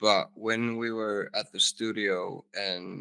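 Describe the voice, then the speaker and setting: This is a man speaking with a Finnish accent. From Finland. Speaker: rock band vocalist. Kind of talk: casual interview chat.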